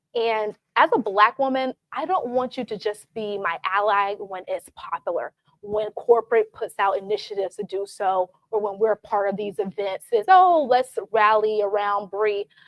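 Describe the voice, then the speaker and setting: In a Southern US accent, the speaker keeps a moderate pace with ordinary pitch variation and hardly any pauses. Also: woman, fairly high pitch for a woman. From US South, Atlanta. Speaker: tech sales professional, panelist. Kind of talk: panel discussion.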